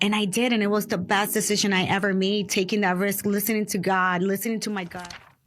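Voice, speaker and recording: A woman with a Spanish accent talks at a very fast pace, barely pausing, in a monotone, flat intonation. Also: medium pitch for a woman. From Dominican Republic, raised in New York City from age 8. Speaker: real estate investor. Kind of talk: interview.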